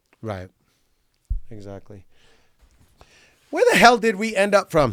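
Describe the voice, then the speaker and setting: Loud male voice at a fairly slow pace. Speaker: podcast host and car salesman. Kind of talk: casual chat. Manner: energetic.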